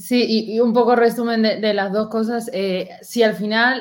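A woman with an Argentine accent speaks at a moderate pace in a fairly high pitch, her intonation flat and monotone. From Argentina. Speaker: university student, event organizer. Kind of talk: casual interview on a live stream.

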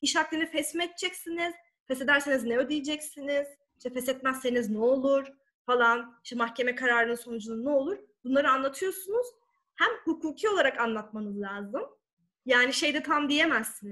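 Raising and projecting her voice, a woman speaks at a fairly quick pace with a high pitch, a bright, sharp tone and lively intonation. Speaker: lawyer and sworn translator. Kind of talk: talk on legal English.

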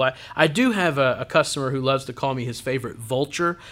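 An unremarkable speaking voice: a man talks at a medium pitch and a fairly quick pace, with ordinary pitch variation. The recording is very clean, with a silent background. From Western Oklahoma. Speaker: car salesman, guest co-host. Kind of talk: casual chat.

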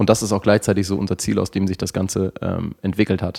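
A man's fairly low voice comes through in a very clean recording with a silent background. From northern Germany. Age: 30s. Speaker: sports scientist and fitness studio manager. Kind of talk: casual interview conversation. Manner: halting, many fillers and restarts.

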